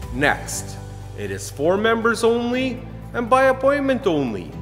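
Clear music sounds in the background. Over it, a man talks fairly slowly. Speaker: personal trainer. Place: gym.

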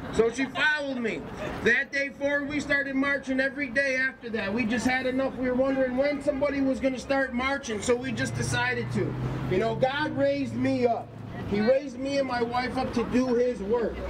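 The speech moves at a fairly quick pace against noticeable background noise. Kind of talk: rally speech. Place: street.

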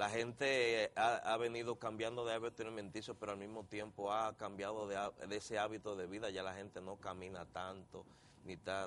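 A man speaks at a fairly low pitch and moderate pace over light background noise. His intonation is monotone and flat. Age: 50s. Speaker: doctor, endocrinologist; guest. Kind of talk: TV interview. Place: studio. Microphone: lapel.

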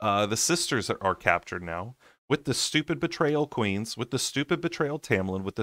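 A man speaks with lively intonation. The sound is dry with no echo and a quiet background. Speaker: audiobook reader. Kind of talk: casual chapter recap to listeners. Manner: soothing. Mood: playful mock exasperation. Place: home room. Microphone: webcam.

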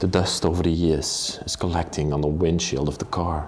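A man talks at a fairly slow pace in a very deep, low voice. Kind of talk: casual vlog chat. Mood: calm, slightly somber. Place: empty room. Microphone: phone near.

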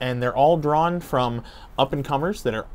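Here a man talks at a moderate pace. His intonation is lively. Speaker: family travel vlogger. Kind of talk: casual vlog chat. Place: street. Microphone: lapel.

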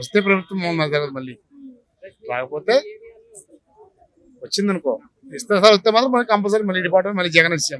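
A man's high-pitched voice with lively intonation. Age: old. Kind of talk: street interview answer.

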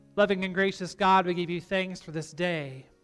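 Faint music plays in the background as a man speaks in a high pitch with fairly even intonation. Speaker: pastor. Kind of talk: spoken prayer. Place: church.

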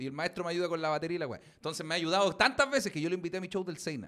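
A man talks at a very fast pace with hardly any pauses, his tone animated and his pitch high. His pitch varies in an ordinary way against a quiet background. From Chile. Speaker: comedian; podcast host. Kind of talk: casual chat. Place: studio. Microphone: studio mic.

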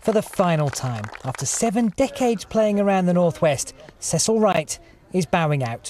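There is noticeable background noise as a man talks at a moderate pace. His pitch swings very widely. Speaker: TV news reporter. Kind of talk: TV news report.

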